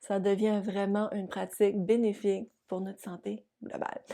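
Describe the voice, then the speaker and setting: A woman with a New Brunswick accent, her tone warm and upbeat yet dark and mellow, in a very clean recording with a silent background. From New Brunswick, Canada. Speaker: yoga teacher and physiotherapist. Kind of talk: casual talk to camera. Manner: warm, upbeat.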